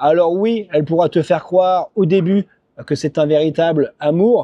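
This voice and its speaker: A man's dark, mellow tone at a fairly slow pace, with ordinary pitch variation and a quiet background. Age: 40s. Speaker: YouTuber, expat vlogger. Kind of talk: casual video monologue. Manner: casual, many hesitations (euh).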